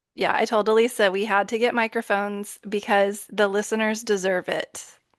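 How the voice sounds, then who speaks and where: A woman with a Texan accent talks at a moderate pace in a fairly high voice against a quiet background. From Texas. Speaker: podcast host. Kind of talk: casual chat. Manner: animated. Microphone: new microphone.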